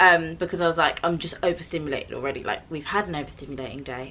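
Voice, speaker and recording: A woman talks at a very fast pace in a very deep, low pitch. Noticeable background noise runs behind her. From UK. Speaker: vlogger. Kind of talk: casual storytelling chat. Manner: animated.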